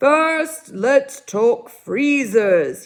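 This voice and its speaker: Very wide swings of pitch in a put-on character voice. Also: woman, high pitch for a woman. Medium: read story. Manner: fussy, lecturing.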